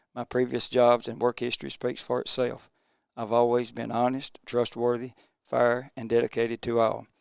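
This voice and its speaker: A man with a Mississippi accent talks at a moderate pace in a medium pitch, his flat, monotone delivery recorded dry and close with no echo. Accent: Mississippi Southern. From US South, Mississippi (Tippah County). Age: 60s. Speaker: political candidate. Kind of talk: campaign statement; interview. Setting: TV studio.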